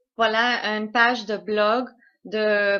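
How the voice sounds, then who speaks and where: With a non-native accent, a woman speaks at a fairly high pitch in a bright, sharp tone. The background is quiet. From Canada. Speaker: conspiracy video maker. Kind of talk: translated commentary. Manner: halting, many hesitations.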